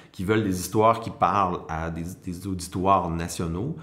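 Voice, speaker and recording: In a Quebec accent, a man speaks with a fairly low pitch, and audible room echo surrounds his voice. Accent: Québécois French. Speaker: TV producer. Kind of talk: interview. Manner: halting, many repetitions and hesitations.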